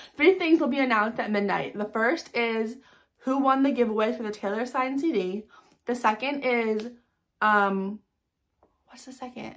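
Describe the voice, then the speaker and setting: A woman with a fairly high voice speaks in an animated tone with ordinary pitch variation. She takes long, frequent pauses over a quiet background. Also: big swings in loudness. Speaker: fan vlogger hosting giveaways. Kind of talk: casual vlog to viewers. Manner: fast. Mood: grateful, warm. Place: home room. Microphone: phone near.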